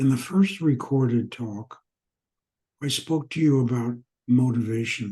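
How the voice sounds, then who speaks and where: At a fairly slow pace with long, frequent pauses, a man speaks in a dark, mellow, somewhat breathy tone at medium pitch with ordinary pitch variation. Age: old. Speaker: spiritual teacher and author. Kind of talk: spiritual teaching talk.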